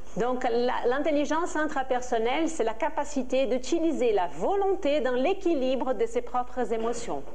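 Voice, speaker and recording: With noticeable background noise, a woman in a Portuguese accent speaks fairly slowly at a high pitch, with lively intonation and hardly any pauses. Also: very even loudness. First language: Portuguese (speaking French). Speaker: interpreter. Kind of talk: simultaneous interpretation of a lecture. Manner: halting.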